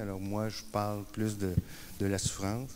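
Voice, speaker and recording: At a moderate pace, a man speaks in a fairly low pitch, with audible room echo around him. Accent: Quebec. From Quebec. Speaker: peer support worker and speaker. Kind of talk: conference talk. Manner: hesitant, many fillers and repetitions.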